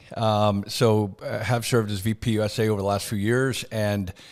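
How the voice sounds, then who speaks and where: With a Canadian accent, a man speaks in an ordinary speaking voice at a fairly low pitch. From Canada. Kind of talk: interview.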